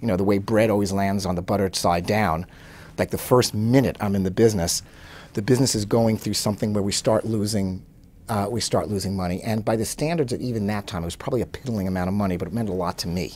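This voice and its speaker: Ordinary pitch variation runs through speech delivered at a very fast pace. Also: man, fairly low pitch for a man. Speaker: interviewee. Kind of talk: interview answer. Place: office.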